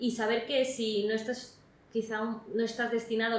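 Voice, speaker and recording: Against noticeable background noise and audible room echo, a woman with a fairly high voice speaks at a fairly slow pace. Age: 20s. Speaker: recent graduate. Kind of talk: interview. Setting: in person interview.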